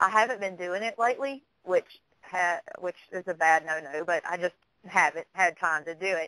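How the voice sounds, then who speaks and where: A woman's medium-pitched, bright, sharp voice in a Southern US accent, at a moderate pace, with a dry, close sound and no echo. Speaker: psychic medium. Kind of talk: radio interview.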